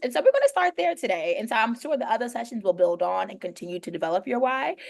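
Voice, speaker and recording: In an American accent, a woman speaks at a fairly high pitch. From New York. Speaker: educator, professional learning lead. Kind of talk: online workshop presentation. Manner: fast; urgent.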